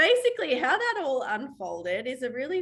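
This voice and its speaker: Bright and sharp in tone, a woman speaks at a moderate pace. Her pitch swings very widely. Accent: Australian. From Australia. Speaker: waxing trainer and mindset coach. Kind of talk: webinar presentation. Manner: talkative.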